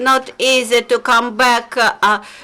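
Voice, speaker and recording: Amid noticeable background noise, a woman with a Belarusian accent talks very slowly at a fairly high pitch. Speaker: human rights researcher. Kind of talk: press conference presentation. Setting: press conference. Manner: halting, many fillers.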